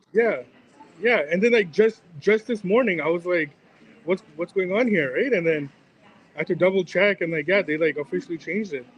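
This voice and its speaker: High-pitched male speech at a fairly quick pace, ordinary pitch variation, noticeable background noise. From Canada. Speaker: sports betting personality. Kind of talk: casual chat. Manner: quiet, keeping voice down.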